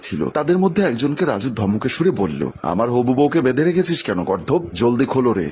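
Here the speaker offers plain reading aloud.

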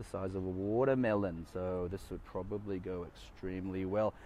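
A man talks at a moderate pace. He speaks with an Australian accent. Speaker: car show video presenter. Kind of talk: walk-around video commentary. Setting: outdoors at a car show, filmed on phone. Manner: casual, with many fillers.

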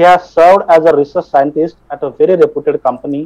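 Against a quiet background, a dark, mellow voice moves at a fairly quick pace. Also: man. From India. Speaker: college faculty coordinator. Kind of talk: formal event introduction. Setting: video call. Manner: formal. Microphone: video call.

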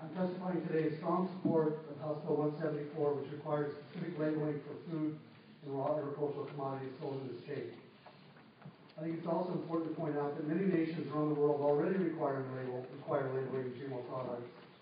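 Strong room echo and light background noise accompany a man talking at a fairly quick pace with fairly even intonation. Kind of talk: formal testimony. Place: hall. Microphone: camera far.

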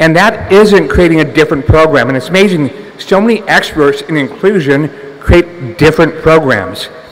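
Here a man speaks at a moderate pace with hardly any pauses. His pitch is fairly high and his intonation lively. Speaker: entrepreneur, conference speaker. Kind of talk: conference talk. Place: hall. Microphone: podium.

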